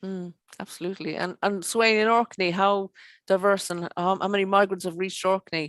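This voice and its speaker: A woman with an Irish accent speaks in a flat monotone at a medium pitch and a fairly quick pace, the sound dry and close with no echo. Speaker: show presenter. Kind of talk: online show presenting. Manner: halting, many fillers.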